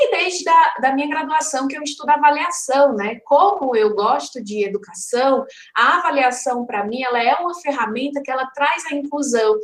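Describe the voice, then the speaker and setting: A high-pitched woman with a Ceará accent, talking at a moderate pace with lively intonation and hardly any pauses. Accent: Ceará (northeastern Brazilian). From Ceará, Brazil. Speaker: educator, conference speaker. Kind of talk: online lecture. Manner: conversational, many fillers.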